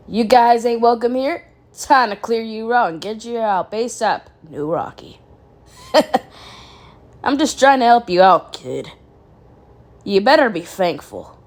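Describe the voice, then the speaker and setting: In a put-on character voice, a female-sounding speaker uses a fairly high, raspy pitch. The pace is moderate. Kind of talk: casual, slangy. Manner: cheeky, reassuring.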